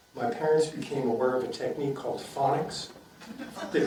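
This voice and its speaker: Over noticeable background noise and audible room echo, a man with an American accent speaks at a fairly high pitch. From Boston area, Massachusetts. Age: 70s. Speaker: retired neurosurgeon and memoir author. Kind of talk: author talk interview. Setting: library event with live audience.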